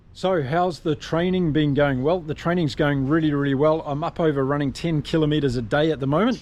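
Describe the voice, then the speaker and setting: Speaking at a fairly quick pace with hardly any pauses, a man with a New Zealand accent uses a fairly high pitch and fairly even intonation. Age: 50s. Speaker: ultra distance runner. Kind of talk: casual talk to camera.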